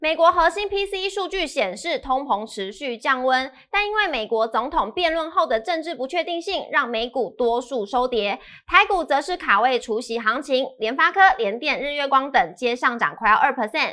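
A woman with a Taiwanese accent uses a raised, projected voice with a bright, sharp tone, high pitch and very wide pitch swings, talking at a moderate pace with hardly any pauses over a quiet background. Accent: Taiwanese Mandarin. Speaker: show presenter; presenter. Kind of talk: scripted news reading. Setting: studio. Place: studio. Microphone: headset.

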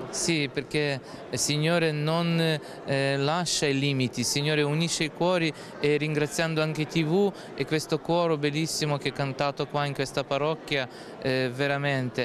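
This man's fairly high voice is monotone and flat, with very even loudness at a moderate pace. The sound is dry with no echo, and background noise is noticeable. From Ukraine. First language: Ukrainian (speaking Italian). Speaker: priest. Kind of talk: interview. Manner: halting. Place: church. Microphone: handheld.

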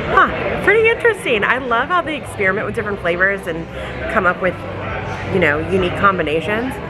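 A woman talks at a very fast pace. Crowd noise fills the background. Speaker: travel vlogger. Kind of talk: casual vlog chat. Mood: cheerful, curious. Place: bar. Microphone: phone near.

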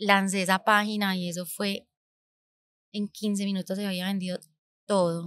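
Pausing long and often, a woman speaks at a fairly slow pace and medium pitch in a bright, sharp tone, recorded dry with no echo against a quiet background. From Colombia, Medellín (raised partly abroad). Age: 30s. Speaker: podcast host, entrepreneur; podcast host. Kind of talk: personal storytelling monologue. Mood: reflective, warm. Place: studio. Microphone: studio mic.

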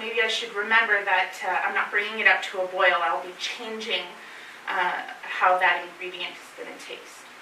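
Light background noise and audible room echo surround a woman talking at a moderate pace. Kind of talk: lecture. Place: meeting room.

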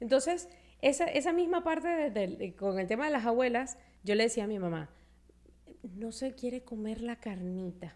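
A woman's voice, fairly high in pitch, moves in very wide pitch swings. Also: moderate pace. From Venezuela. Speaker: podcast host. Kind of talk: casual chat; podcast conversation. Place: studio. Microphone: studio mic.

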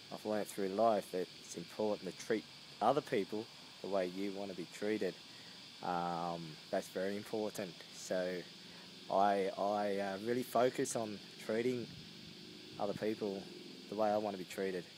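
A man's fairly low voice at a moderate pace, with fairly even intonation and long, frequent pauses over noticeable background noise. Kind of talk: casual vlog chat. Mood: reflective, warm. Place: garden. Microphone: phone near.

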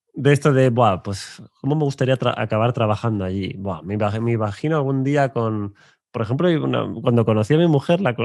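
Against a quiet background, a man speaks at medium pitch and a moderate pace. His intonation is lively, and the sound is dry with no echo. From Spain, Burgos; Spain. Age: 30s. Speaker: coach and YouTube host; coach, YouTube host. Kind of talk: interview conversation. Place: studio. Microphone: studio mic.

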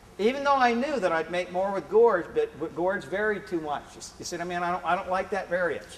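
A man speaks at a high pitch with ordinary pitch variation. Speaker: presenter. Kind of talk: lecture. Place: classroom. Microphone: camera far.

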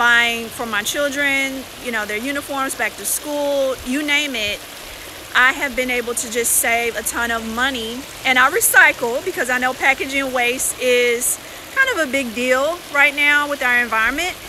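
A woman talks at a moderate pace in a raised, projected voice with fairly even intonation. The sound is dry with no echo, and there is noticeable background noise. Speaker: personal finance vlogger. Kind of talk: casual live stream chat. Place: beach. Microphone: phone near.

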